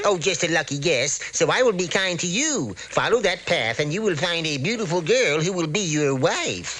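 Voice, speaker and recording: Using a cartoonish character voice at a high pitch, a man speaks at a moderate pace over clear background noise. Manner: folksy, genial.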